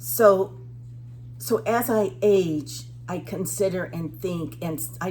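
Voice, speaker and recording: This is a woman's voice. Noticeable background noise can be heard. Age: 70s. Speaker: vlogger. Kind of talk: casual monologue vlog. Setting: at the beach. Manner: halting.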